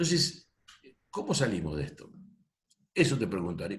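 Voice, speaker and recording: A man is speaking. His pace is fairly quick. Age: 60s. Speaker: audience participant, educator. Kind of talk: question in discussion. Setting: video call.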